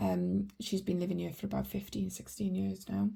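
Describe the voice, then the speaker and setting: A woman speaks with a Welsh accent. She talks at a fairly quick pace. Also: very clean recording, silent background. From Wales, Welsh valleys. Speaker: budgeting vlogger. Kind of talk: casual vlog tutorial. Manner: chatty, many fillers.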